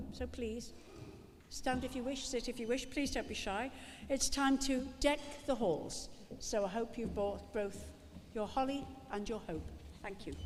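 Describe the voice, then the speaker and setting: With a Liverpool accent, a woman talks at a fairly slow pace, leaving long, frequent pauses. Her pitch varies in an ordinary way, and audible room echo surrounds her. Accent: Liverpool (Scouse). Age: 70s. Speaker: actress and event presenter. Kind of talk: live event hosting. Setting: stage with audience. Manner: chatty, joking ad-lib.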